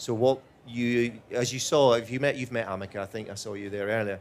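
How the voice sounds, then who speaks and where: A man with a Scottish accent at medium pitch, with fairly even intonation and a fairly quick pace. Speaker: robotics executive. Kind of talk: panel Q&A answering audience. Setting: stage with audience.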